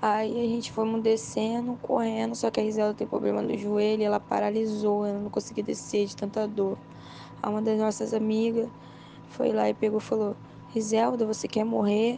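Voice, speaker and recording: A woman speaks in a tearful tone at a moderate pace, with noticeable background noise. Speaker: witness of the fire. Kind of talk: tearful testimony. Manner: distressed, breathless, tearful, recounting in panic.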